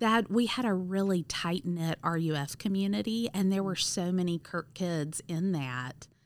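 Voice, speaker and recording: In a Southern US accent, a woman speaks fairly slowly at a medium pitch with ordinary pitch variation, on a very clean recording with a silent background. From US South, Mississippi (Cleveland). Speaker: school nurse. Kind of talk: casual interview.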